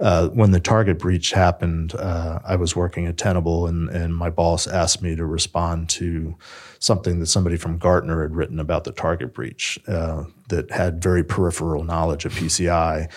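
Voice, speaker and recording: Fairly even intonation and a fairly quick pace come with an American accent. The recording is very clean, with a silent background. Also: man, very deep, low pitch for a man. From Maryland, US (Silver Spring). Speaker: information security consultant. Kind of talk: interview. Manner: halting.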